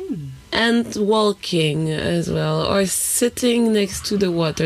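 A woman speaks with ordinary pitch variation amid noticeable background noise. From Haiti.

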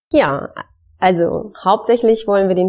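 A woman's dark, mellow voice in a medium pitch at a moderate pace. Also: very clean recording, silent background. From northern Germany, Wismar on the Baltic coast. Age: 40s. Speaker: midwife, podcast co-host. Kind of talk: podcast introduction, casual.

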